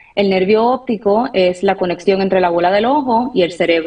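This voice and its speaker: Ordinary pitch variation in a Puerto Rican accent. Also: woman. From Puerto Rico. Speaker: ophthalmologist. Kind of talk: expert interview on radio.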